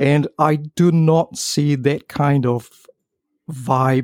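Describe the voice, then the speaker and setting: With a non-native accent, a man speaks with a dark, mellow tone at a fairly high pitch and fairly even intonation, in a dry, close sound with no echo. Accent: foreign-accented English. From outside US and UK. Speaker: adult content performer. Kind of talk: casual chat. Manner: halting.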